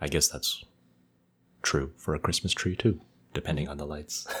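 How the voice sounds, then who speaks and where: Vocal fry runs through a man's voice. His pitch is very deep and low. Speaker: ophthalmology podcast co-host. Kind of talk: educational podcast discussion.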